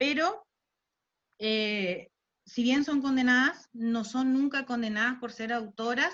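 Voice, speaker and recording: A woman speaks at a high pitch. Her pace is fairly slow, and her pitch varies in an ordinary way. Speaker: lawyer and university lecturer. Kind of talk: talk at online panel. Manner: hesitant, many fillers.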